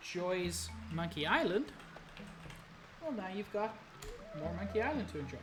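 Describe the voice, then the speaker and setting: A woman speaks at a moderate pace with long, frequent pauses. Music plays in the background, and audible room echo is present. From South Africa. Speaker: game streamer. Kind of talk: casual let's-play commentary. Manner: halting, many fillers.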